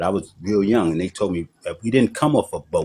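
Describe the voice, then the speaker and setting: A somewhat breathy male voice. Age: 60s. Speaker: debate caller. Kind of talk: heated debate. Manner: insistent, repetitive.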